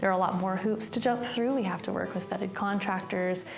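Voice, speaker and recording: A woman at a very fast pace and medium pitch, amid noticeable background noise and audible room echo. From East Tennessee. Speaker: historic preservation worker. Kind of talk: documentary interview.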